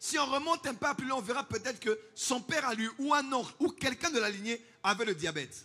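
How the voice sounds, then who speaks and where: Using a raised, projected voice, a man speaks at a fairly quick pace with a bright, sharp tone. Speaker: pastor. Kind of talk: sermon.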